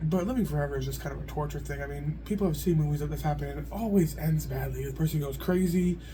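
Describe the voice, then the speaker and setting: Against noticeable background noise and audible room echo, a man talks at a very fast pace with hardly any pauses. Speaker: video blogger. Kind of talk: casual monologue. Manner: loud.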